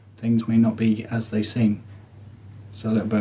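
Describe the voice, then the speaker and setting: There is noticeable background noise as a man speaks at a moderate pace and medium pitch. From southeast England. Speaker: comedian. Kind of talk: comedic monologue.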